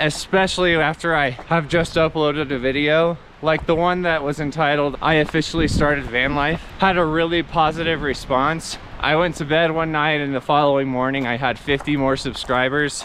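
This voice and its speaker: A man with a fairly high-pitched voice talks at a moderate pace with fairly even intonation and hardly any pauses, over noticeable background noise. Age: 30s. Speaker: vanlife vlogger. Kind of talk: casual vlog monologue while hiking. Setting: outdoors on a mountain hike.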